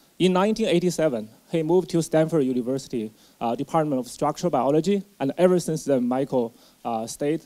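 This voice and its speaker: In an ordinary speaking voice, a man with a fairly high pitch talks at a moderate pace, with ordinary pitch variation. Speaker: professor introducing the speaker. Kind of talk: formal introduction. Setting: lecture hall with audience. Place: hall. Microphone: handheld.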